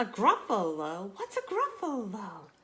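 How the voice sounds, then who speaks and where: Putting on a character voice, a woman talks at a fairly slow pace with fairly high pitch. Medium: read story.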